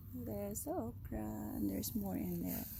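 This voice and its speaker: A woman speaks with a Filipino accent. Her pace is fairly slow. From Philippines. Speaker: home gardener vlogger. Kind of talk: casual garden tour vlog. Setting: outdoors in garden at sunrise. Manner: animated.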